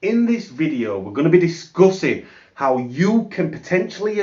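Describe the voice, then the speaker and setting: Speaking in a British accent, a man with a high pitch makes very wide pitch swings. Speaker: affiliate marketing youtuber. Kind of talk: sales pitch. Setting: home office.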